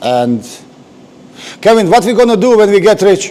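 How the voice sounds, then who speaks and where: A man with a non-native accent, very wide pitch swings, and noticeable background noise. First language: not English. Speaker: car restorer. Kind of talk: workshop tutorial. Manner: halting.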